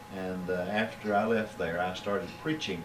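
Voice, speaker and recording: A man with a Kentucky accent and a fairly low pitch, talking at a fairly quick pace, with noticeable background noise and audible room echo. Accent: southern US (Kentucky). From Kentucky, south-central (Monticello). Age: 60s. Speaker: preacher. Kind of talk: interview. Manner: halting, many filler words.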